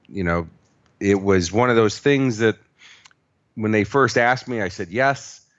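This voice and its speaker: A man with an American accent at a moderate pace and with ordinary pitch variation. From US Midwest, Chicago. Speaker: motivational speaker. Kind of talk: interview.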